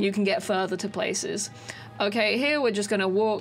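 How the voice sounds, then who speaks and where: Music is playing behind the speaker. Her pitch, a woman's, varies in an ordinary way. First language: not English. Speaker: speedrunner, gaming tutorial creator. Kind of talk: gameplay tutorial. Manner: halting, many fillers and restarts.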